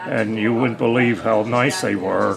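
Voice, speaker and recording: There is noticeable background noise. A man speaks with an American accent. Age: 80s+. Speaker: war veteran. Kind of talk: interview answer.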